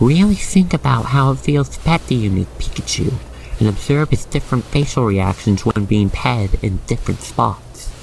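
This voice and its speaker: Noticeable background noise runs throughout. The words come at a moderate pace. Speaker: ASMR roleplay narrator. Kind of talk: ASMR roleplay narration. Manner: calm, soothing.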